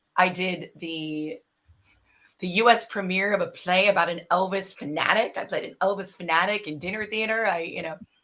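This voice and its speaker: The tone is bright and sharp, with fairly even intonation, big swings in loudness and a moderate pace. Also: woman, medium pitch for a woman. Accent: American. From US Midwest, Racine, Wisconsin. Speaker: actor. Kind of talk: interview, casual chat. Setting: live stream with chat.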